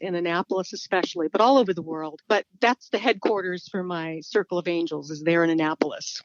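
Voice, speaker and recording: This is a normal speaking voice with an American accent. The pitch variation is ordinary. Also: woman. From California. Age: 60s. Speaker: small business owner and author. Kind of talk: interview.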